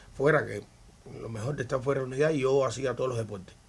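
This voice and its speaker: At a very fast pace, a man talks with fairly even intonation. His voice is fairly high and somewhat breathy. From Cuba, Havana. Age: 60s. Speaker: retired baseball pitcher. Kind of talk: interview.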